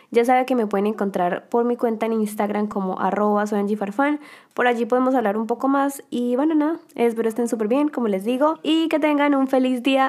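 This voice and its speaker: Fairly rapid delivery from a woman, high in pitch, with normal variation in pitch. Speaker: podcast host. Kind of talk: casual monologue.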